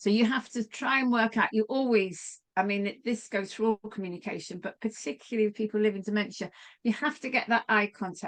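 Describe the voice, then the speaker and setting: A woman with a plain, everyday voice, fairly high in pitch, with fairly even intonation, hardly any pauses, and a dry, close sound with no echo. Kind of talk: online training talk.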